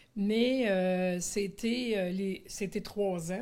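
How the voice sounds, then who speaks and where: Her pitch moves in an ordinary way. The speaker is a woman. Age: 60s. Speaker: retired special educator. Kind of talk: testimony. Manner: halting, many hesitations.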